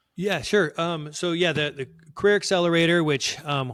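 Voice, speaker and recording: Ordinary pitch variation accompanies a fairly quick pace of speech. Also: man. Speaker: career coach and former entertainment executive. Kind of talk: podcast interview. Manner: fast; halting with many fillers.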